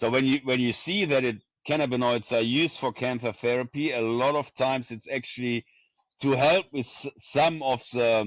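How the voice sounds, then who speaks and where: A man speaks at medium pitch with a strong German accent. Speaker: neuroscience professor. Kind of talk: interview.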